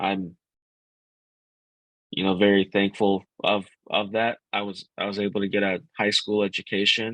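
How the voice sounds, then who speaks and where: At a moderate pace, a man speaks in a fairly low pitch with monotone, flat intonation and long, frequent pauses. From US Midwest, Grand Rapids, Michigan. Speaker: ad tech partnerships director. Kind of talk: podcast interview. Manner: halting, frequent repetitions.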